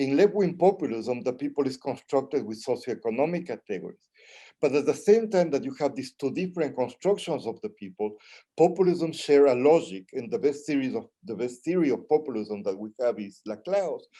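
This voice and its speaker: Fairly quick and fairly high in pitch, a man speaks with lively intonation and a dark, mellow tone. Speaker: Latin American studies professor. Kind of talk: panel presentation. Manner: fast.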